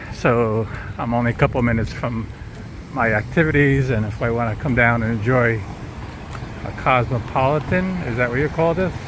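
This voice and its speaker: A man with an American accent speaks at a medium pitch and moderate pace, with ordinary pitch variation and long, frequent pauses, amid audible room echo and noticeable background noise. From Long Island, New York. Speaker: vlogger, tour guide. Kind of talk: casual walking tour commentary. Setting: outdoors walking.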